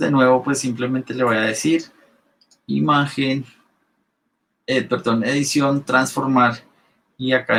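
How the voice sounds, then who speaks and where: This is a man speaking. His pitch is medium. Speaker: Photoshop instructor. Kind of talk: live online class tutorial. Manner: fast when excited.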